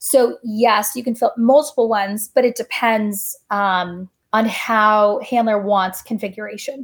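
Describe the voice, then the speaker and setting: A woman's fairly high, somewhat breathy voice with fairly even intonation at a fairly slow pace, on a very clean recording with a silent background. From Coronado, California, US. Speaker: former naval flight officer. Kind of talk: interview.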